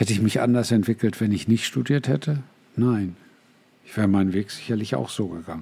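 Speaking at a fairly quick pace, a man uses lively intonation, his fairly low voice dark and mellow in tone. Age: 60s. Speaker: podcast host and life coach. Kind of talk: solo podcast monologue.

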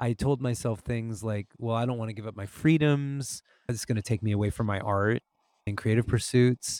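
A man with a plain, everyday voice speaks at medium pitch and a moderate pace with fairly even intonation. The recording is very clean, with a silent background and dry, close sound without echo. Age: 40s. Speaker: musician and podcaster. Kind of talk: casual chat.

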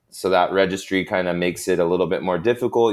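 This man has an American accent and a very deep, low pitch. The recording is very clean, with a silent background. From Sacramento, California. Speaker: coffee roaster and cafe owner. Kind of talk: interview. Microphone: microphone connection troubles, no XLR.

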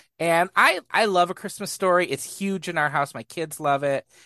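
A man with a bright, sharp tone and lively intonation at a moderate pace, dry and close with no echo against a quiet background. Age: 40s. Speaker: movie podcast co-host. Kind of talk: casual chat.

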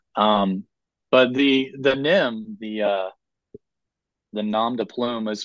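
A man with an American accent speaks very slowly at fairly low pitch, his intonation fairly even. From US South, rural north Florida. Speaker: author. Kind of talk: interview.

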